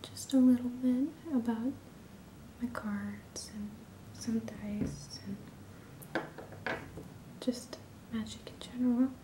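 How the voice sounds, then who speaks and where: A woman whispers in a soft-spoken way. Noticeable background noise runs underneath. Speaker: ASMR creator. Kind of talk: ASMR hobby show-and-tell. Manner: whispered; quiet, soft-spoken.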